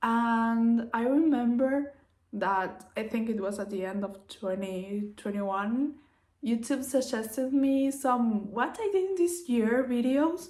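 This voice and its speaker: The speaker has a Spanish accent and lively intonation. The pace is very slow. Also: woman, fairly high pitch for a woman. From Uruguay. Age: 20s. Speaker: craft vlogger. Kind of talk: casual vlog monologue.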